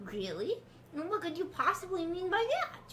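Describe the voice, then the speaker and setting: Putting on a character voice with an extremely high pitch, a woman speaks at a moderate pace amid clear background noise. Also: lively intonation. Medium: game stream. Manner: smooth, condescending.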